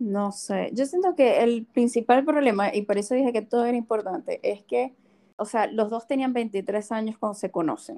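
A woman with a plain, everyday voice talks at a moderate pace, fairly high in pitch, with ordinary pitch variation. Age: 30s. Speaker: podcast co-host. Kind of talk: casual chat.

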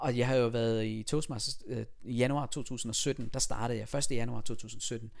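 In a space with audible room echo, a man talks at a medium pitch with fairly even intonation. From Denmark, raised from age four, born in Iran. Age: 30s. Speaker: podcast guest, public speaker. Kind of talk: casual interview. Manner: halting, many fillers.

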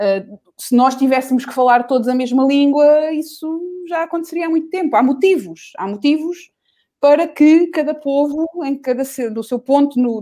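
At a moderate pace, a woman speaks in a high pitch with a dark, mellow tone and lively intonation. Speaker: singer. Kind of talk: casual chat. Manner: animated.

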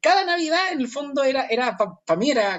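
A man with a Chilean accent talks at a moderate pace, his pitch swinging very widely. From northern Chile, Chuquicamata. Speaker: performing arts company founder. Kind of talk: casual interview conversation. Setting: remote call from home. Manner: halting, repeats words.

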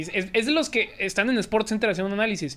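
Recorded very cleanly over a silent background, a man speaks with ordinary pitch variation. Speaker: sports youtuber. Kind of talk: casual chat.

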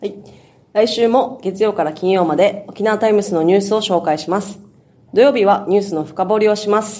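With a normal speaking voice at a medium pitch, a woman moves at a fairly quick pace with ordinary pitch variation. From Okinawa, northern main island (Nago). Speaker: newspaper reporter. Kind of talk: news discussion.

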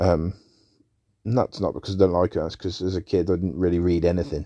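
Against a silent background in a very clean recording, a man with an English accent speaks in a dark, mellow tone at a very deep, low pitch, with fairly even intonation. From England. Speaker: podcast host. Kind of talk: casual monologue. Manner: hesitant, many fillers.

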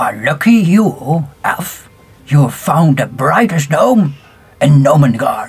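This is a put-on character voice with a low-to-middle pitch. The delivery moves at a fairly slow pace. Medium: actual play. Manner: pompous, boastful.

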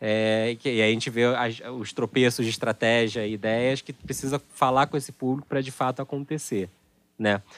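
In a very clean recording with a silent background and a dry, close sound with no echo, a man speaks in a plain, everyday voice at a medium pitch, with fairly even intonation and a moderate pace. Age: 30s. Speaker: podcast host. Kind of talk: panel discussion.

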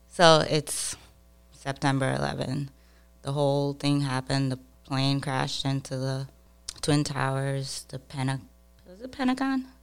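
Over music in the background, the speech moves at a fairly slow pace with long, frequent pauses, a monotone, flat intonation and big swings in loudness. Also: woman, very deep, low pitch for a woman. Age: 40s. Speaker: podcast guest, former soldier and mail carrier. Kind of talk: casual chat. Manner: laughs often.

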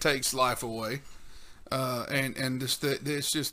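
A man with a Southern US accent speaks at a fairly slow pace and a fairly high pitch, with ordinary pitch variation and a bright, sharp tone. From US South. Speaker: podcast host. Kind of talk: casual chat.

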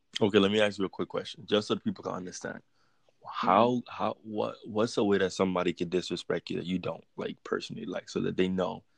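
A man with an American accent talking at a very fast pace, the sound dry and close with no echo. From US Virgin Islands. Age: 20s. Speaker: podcast guest. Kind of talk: casual chat.

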